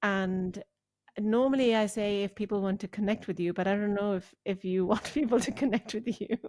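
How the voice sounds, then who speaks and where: At a moderate pace and with fairly even intonation, the voice comes through with a dry, close sound and no echo. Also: woman, medium pitch for a woman. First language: not English. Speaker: podcast host. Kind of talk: podcast interview.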